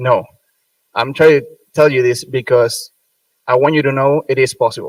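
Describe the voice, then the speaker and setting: A somewhat breathy man with a Spanish accent speaks at a moderate pace and a medium pitch, monotone and flat, with long, frequent pauses. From Venezuela, Margarita Island. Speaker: medical student, student government president. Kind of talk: ceremony speech. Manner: unscripted, some hesitations.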